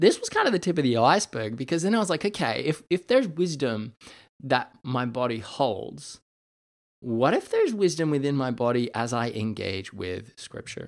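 On a very clean recording with a silent background, a man speaks at a moderate pace in a fairly high pitch, with very wide pitch swings. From Canada. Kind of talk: solo podcast monologue, reflective teaching. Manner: casual, conversational.

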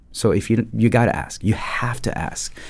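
On a very clean recording with a silent background, a man with a French accent speaks at a medium pitch and a moderate pace. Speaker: dentist and podcast host. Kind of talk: casual podcast conversation.

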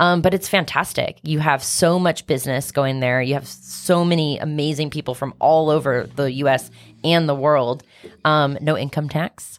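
On a very clean recording with a silent background, a woman speaks in a very deep, low voice. Her pace is moderate and her intonation fairly even. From Kansas City, US Midwest. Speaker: real estate investor. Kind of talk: casual interview. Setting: studio.

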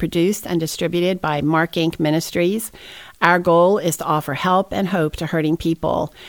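The speaker has an unremarkable speaking voice, fairly even intonation and a moderate pace. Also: woman. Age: 60s. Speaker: ministry podcast host. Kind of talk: interview.

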